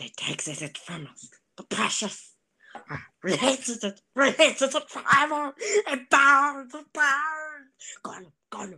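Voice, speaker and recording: A put-on character voice, high-pitched and very slow. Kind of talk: comic impression. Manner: hissing, obsessive.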